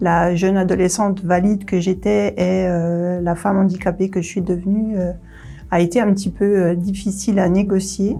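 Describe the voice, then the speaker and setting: Over music in the background, a woman at a medium pitch speaks at a fairly slow pace in a flat monotone. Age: 40s. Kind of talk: interview testimony. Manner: hesitant, many fillers.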